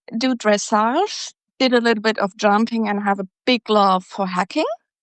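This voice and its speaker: In a German accent, a woman speaks at a fairly high pitch. Her pace is fairly slow. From Germany. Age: 60s. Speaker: equine nutritionist. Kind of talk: podcast interview.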